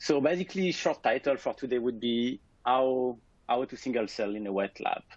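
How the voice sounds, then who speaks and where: A man speaks at a moderate pace. His voice sits at a medium pitch with ordinary pitch variation. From France. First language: French. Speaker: scientist, lab director. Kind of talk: webinar presentation. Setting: alone in his office.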